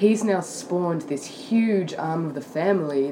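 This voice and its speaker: A woman with an Australian accent speaks at a fairly slow pace with ordinary pitch variation. Noticeable background noise runs underneath. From Sydney, Australia. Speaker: guest. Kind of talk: casual chat.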